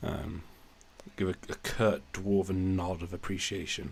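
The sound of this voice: This man speaks at a fairly slow pace in a low pitch, with vocal fry and fairly even intonation.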